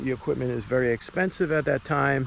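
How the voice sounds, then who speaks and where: A man speaks with a Boston accent. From US Northeast, Boston. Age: 50s. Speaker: amateur hockey goaltender and vlogger. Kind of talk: casual vlog talk. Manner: conversational with frequent fillers.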